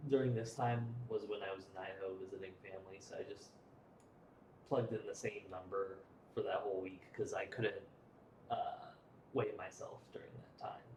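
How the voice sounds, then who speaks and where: A man speaks quietly, with big swings in loudness. His delivery has long, frequent pauses. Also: moderate pace. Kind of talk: casual vlog talk to camera. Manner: quiet, low energy.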